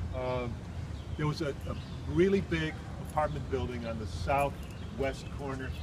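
At a fairly slow pace with long, frequent pauses, the speaker uses very wide pitch swings in an American accent over noticeable background noise. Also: man, very deep, low pitch for a man. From Chicago, Humboldt Park. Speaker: poet recounting his immigrant childhood. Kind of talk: elder life story, walking-tour reminiscence of the old neighborhood. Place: street. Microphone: phone near.

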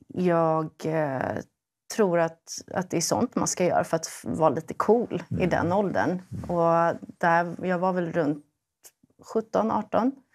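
A woman speaks very slowly in a fairly low voice with ordinary pitch variation. The background is quiet. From Sweden. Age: 30s. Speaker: primary school teacher. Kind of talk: testimony. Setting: studio. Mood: calm, personal, reflective. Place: studio. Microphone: lapel.

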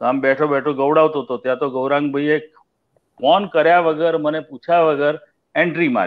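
A man talks in an ordinary speaking voice, pitched fairly high with fairly even intonation. The background is quiet. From Gujarat, India. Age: 60s. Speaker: music director; guest. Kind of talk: casual interview. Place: home room. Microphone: video call.

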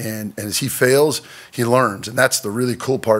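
The man's pitch varies in an ordinary way. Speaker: football coach. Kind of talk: press conference answer. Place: meeting room. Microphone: podium.

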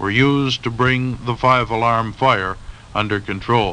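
A man speaks at a fairly slow pace in a dramatic tone. His intonation stays fairly even. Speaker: TV news field reporter. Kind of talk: 1970 TV newscast field report, read from script. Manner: formal, brisk, dramatic, authoritative broadcast delivery. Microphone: old recording.

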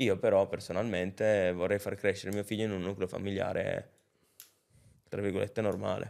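Over a quiet background, a man with a fairly low pitch talks at a fairly quick pace in a monotone, flat way, broken by long, frequent pauses. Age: 20s. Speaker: rapper; podcast guest. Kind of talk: casual chat. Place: studio. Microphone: studio mic.

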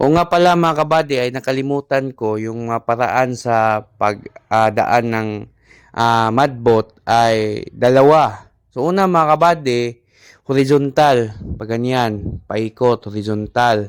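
The man's voice sits at a medium pitch with ordinary pitch variation. He talks at a very slow pace. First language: Cebuano (Bisaya) (speaking Tagalog). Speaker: rice farmer and farming vlogger. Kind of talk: farming tutorial vlog. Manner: halting with many fillers.

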